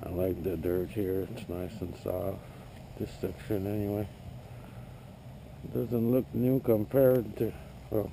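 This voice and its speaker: A man mumbles at a fairly slow pace, with long, frequent pauses. His pitch variation is ordinary. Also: fairly low pitch for a man. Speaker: metal detecting hobbyist. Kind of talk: casual vlog narration. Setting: outdoors. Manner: mumbling.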